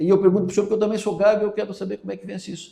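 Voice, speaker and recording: A man is speaking. His tone is dark and mellow. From southern Santa Catarina, Brazil (Araranguá). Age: 60s. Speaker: radio host and journalist. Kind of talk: interview. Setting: radio station.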